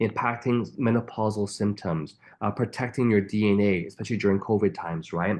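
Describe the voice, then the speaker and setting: In an enthusiastic tone, a man with a fairly low pitch speaks at a moderate pace with ordinary pitch variation against a quiet background. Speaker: network marketing trainer. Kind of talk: training webinar. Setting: online group call.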